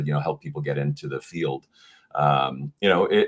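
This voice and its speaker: A man talks with ordinary pitch variation while noticeable background noise is present. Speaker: auctioneer. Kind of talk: podcast interview answer.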